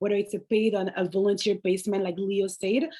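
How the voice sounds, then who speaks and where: With a French accent, a woman talks at a fairly quick pace. Her voice is medium in pitch and her intonation fairly even. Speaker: alumni panelist. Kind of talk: panel discussion.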